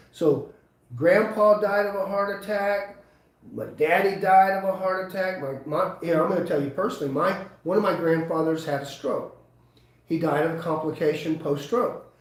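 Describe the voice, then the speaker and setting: Over noticeable background noise and audible room echo, a man with a high-pitched voice speaks at a moderate pace with ordinary pitch variation. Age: 60s. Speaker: chiropractor. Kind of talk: live webinar talk. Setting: live webinar.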